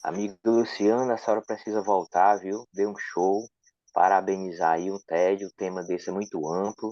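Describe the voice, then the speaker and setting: This man speaks at a moderate pace with a northeastern Brazilian accent, his fairly low voice keeping a fairly even intonation. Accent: northeastern Brazilian (Ceará). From Ceará, northeast Brazil. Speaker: audience participant. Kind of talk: asking a question.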